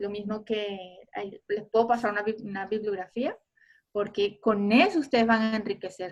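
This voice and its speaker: Speaking at a fairly slow pace, a woman uses an unremarkable speaking voice of medium pitch. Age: 50s. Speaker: photographer giving an online talk. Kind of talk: online lecture.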